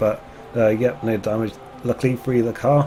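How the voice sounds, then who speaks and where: A man's very fast delivery at medium pitch, fairly even in intonation, with music in the background. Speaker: gaming commentator. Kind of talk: casual gameplay commentary.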